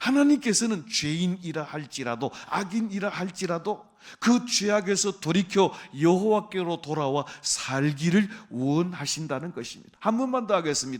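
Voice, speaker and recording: Lively intonation rides on speech delivered at a moderate tempo. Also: man, high pitch for a man. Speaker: pastor. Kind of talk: sermon.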